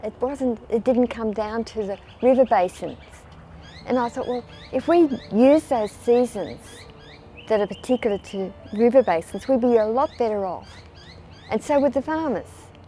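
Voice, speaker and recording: A woman speaks in a dark, mellow tone with an Australian accent. Her pitch varies in an ordinary way, and she takes long, frequent pauses. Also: moderate pace. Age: 80s+. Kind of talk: interview answer. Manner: conversational, hesitant.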